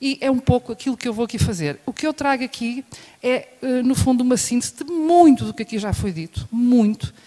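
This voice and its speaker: In a European Portuguese accent, a woman talks at a fairly quick pace with a high pitch. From Portugal. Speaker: professor. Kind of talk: lecture.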